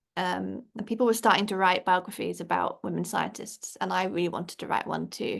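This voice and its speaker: A woman speaks with an English accent and vocal fry at a moderate pace. The background is quiet. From England. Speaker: children's book author. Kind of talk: interview.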